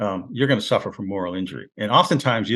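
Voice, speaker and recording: Against a quiet background, a man talks at a very fast pace with vocal fry and lively intonation. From US Northeast, Rochester, New York. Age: 70s. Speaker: war veteran and poet. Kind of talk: interview conversation. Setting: studio. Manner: halting, many fillers and repeats.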